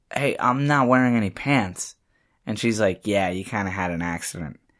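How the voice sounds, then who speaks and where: Over a very clean recording with a silent background, a man with a normal speaking voice talks in a fairly low pitch with lively intonation. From New Haven, Connecticut, with teen years in Puerto Rico. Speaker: filmmaker and actor. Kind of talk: casual chat.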